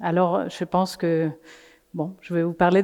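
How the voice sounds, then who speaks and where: Speaking fairly slowly with a non-native accent, a woman has a fairly low, dark, mellow voice and a monotone, flat intonation. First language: not French (speaking French). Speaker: climate coalition representative. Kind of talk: conference talk. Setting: in person before an audience. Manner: halting, many hesitations.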